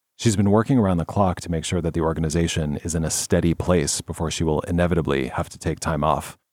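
A man with a very deep, low pitch talks at a very fast pace. His pitch varies in an ordinary way, and the recording is very clean with a silent background. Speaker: podcast producer and co-host. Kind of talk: casual chat and storytelling.

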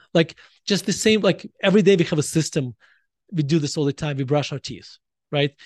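A man with a Russian accent and a fairly high pitch talks at a fairly quick pace, with ordinary pitch variation and long, frequent pauses. The sound is dry and close with no echo, and the background is quiet. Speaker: author. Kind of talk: casual chat.

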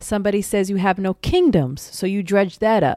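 A woman speaks at medium pitch and a moderate pace, with a dry, close sound, no echo, and a very clean recording over a silent background. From Philadelphia, US. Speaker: podcast co-host. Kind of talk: casual chat.

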